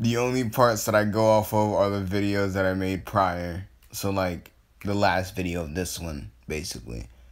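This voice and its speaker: With ordinary pitch variation and a fairly low pitch, a man speaks at a moderate pace. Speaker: fan fiction storyteller youtuber. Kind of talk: casual improvised storytelling. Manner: halting, many fillers and restarts; yawning.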